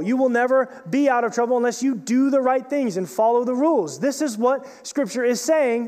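Extremely high in pitch, a man speaks at a moderate pace. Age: 30s. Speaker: student pastor. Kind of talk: sermon.

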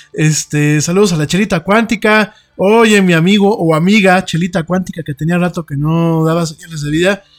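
At a moderate pace, a man talks with a high pitch. His intonation stays fairly even. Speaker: radio host. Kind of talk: casual chat. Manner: halting.

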